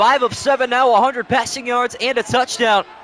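This man talks at a fairly quick pace in an extremely high pitch. Noticeable background noise runs behind him. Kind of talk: live sports commentary, play-by-play of a simulated Madden game. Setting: video game commentary recording. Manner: rapid-fire, clipped play-by-play delivery.

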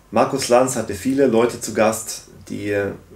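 The man delivers his words in a monotone, flat intonation. Audible room echo can be heard around him. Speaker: political commentary YouTuber. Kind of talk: video commentary. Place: home room.

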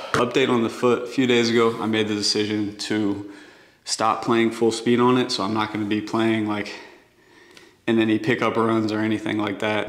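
Room echo is audible over a quiet background. A man speaks at a moderate pace with monotone, flat intonation. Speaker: basketball player vlogger. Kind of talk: casual vlog chat. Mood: reflective, slightly down. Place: garage. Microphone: camera far.

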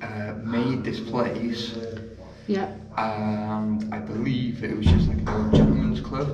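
A man's voice over clear background music. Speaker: local guide answering questions. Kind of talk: interview answer. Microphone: phone near.

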